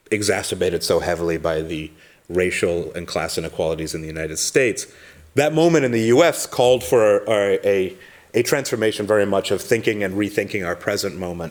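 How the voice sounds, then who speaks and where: A man with an American accent speaks at a fairly quick pace, his fairly low voice carrying lively intonation. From London, England (American family). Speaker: academic researcher. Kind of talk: conference talk. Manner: halting, many fillers and repeats.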